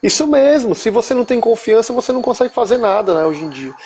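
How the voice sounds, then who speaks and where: Noticeable background noise runs under a man whose intonation is lively. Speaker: financial planning speaker. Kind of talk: live stream talk. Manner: fast. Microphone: unstable internet connection.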